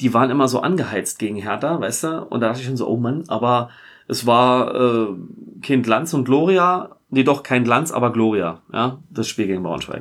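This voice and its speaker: A man with an unremarkable speaking voice, medium pitch, ordinary pitch variation and a moderate pace, in a very clean recording with a silent background. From Berlin (Tempelhof). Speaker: football fan. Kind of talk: casual chat.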